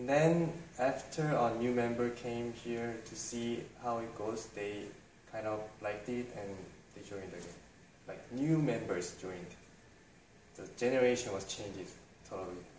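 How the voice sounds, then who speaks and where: A man with a Korean accent speaks with ordinary pitch variation and long, frequent pauses, amid audible room echo and light background noise. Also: medium pitch for a man, fairly slow pace. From South Korea. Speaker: English study group founder. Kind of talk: interview answer. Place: cafe.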